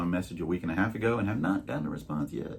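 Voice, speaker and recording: Noticeable background noise sits behind a man talking very fast. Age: 60s. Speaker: YouTube reseller channel co-host. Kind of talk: casual chat.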